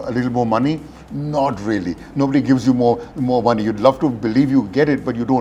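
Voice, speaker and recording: The man talks at a very fast pace and a medium pitch. His intonation is fairly even, and background noise is noticeable. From Glasgow, UK. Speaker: retired corporate CEO. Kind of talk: talk at an industry forum.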